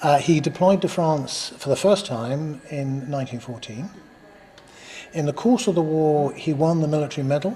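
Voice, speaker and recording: A man talks with a fairly high pitch for his sex. There is noticeable noise behind him. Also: ordinary pitch variation, moderate pace. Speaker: regimental museum staff. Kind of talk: interview answer.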